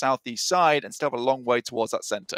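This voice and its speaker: Lively intonation marks a man's speech, recorded with a dry, close sound and no echo. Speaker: esports caster. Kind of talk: live commentary. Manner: fast.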